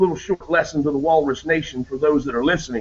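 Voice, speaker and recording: A man with a Southern US accent. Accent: southern drawl. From Maryland. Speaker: radio host. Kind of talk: casual chat. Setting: video call.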